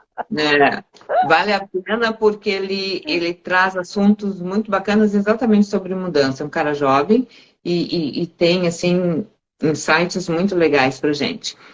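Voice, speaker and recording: Fairly slow speech comes from a woman with an ordinary speaking voice. Her pitch is medium, with ordinary pitch variation. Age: 60s. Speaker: live stream host on self-development. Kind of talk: casual conversation on a live stream.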